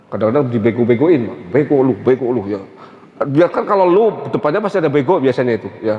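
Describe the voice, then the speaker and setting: Talking at a very fast pace, a man with a medium-pitched voice uses lively intonation over noticeable background noise. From Central Java (Tegal). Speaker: Islamic preacher. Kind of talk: religious lecture. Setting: mosque.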